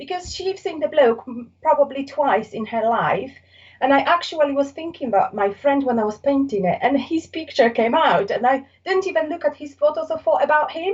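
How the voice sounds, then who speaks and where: Here a woman with a Polish accent talks at a fairly quick pace. Her voice is high with lively intonation. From Poland. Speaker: artist. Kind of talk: casual interview. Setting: podcast recording. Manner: halting.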